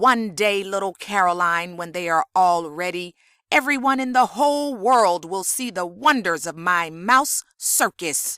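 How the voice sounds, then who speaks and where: At a fairly slow pace with hardly any pauses, a woman talks in an ordinary speaking voice at a medium pitch, recorded very cleanly against a silent background. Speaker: audiobook narrator. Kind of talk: children's audiobook reading.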